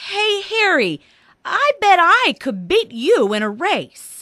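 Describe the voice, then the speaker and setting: A woman puts on a character voice in an extremely high pitch. Her voice is raised and projected, and her pace is very slow. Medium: read story.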